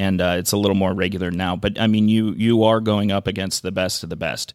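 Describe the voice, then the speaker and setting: Speaking with an American accent, this man's voice sits at a fairly low pitch. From Minnesota, Saint Paul. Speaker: craft brewing trade association director. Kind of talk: interview.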